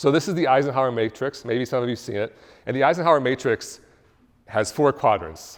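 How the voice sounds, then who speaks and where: A man speaks at medium pitch with ordinary pitch variation. The recording is very clean, the background silent. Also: fairly quick pace. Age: 40s. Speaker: business founder and speaker. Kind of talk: talk to a live audience. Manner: fast.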